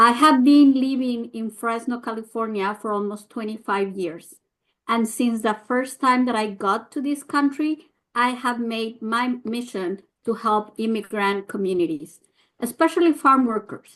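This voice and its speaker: Against a quiet background, a woman with a fairly high voice speaks in a Mexican accent at a fairly slow pace with ordinary pitch variation. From Mexico. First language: Spanish. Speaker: nonprofit leader, immigrant advocate. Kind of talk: prepared talk at press briefing. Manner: hesitant, many fillers.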